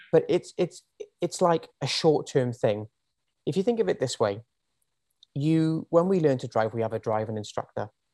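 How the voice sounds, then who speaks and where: With a Welsh accent, a man speaks at a moderate pace and fairly high pitch, his dark, mellow tone swinging very widely in pitch, with long, frequent pauses and a dry, close sound with no echo. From Wales. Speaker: personal trainer. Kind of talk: casual chat. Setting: video call.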